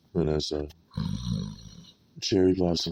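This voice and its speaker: A man performs a cartoonish character voice. His pitch is very deep and low. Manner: excitable, exaggerated.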